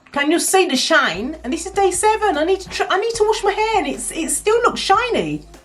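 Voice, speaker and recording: Over music in the background, a woman speaks at an extremely high pitch and fairly quick pace with hardly any pauses, her tone animated and intonation lively. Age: 40s. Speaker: hair care vlogger. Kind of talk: casual vlog talk. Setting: home office.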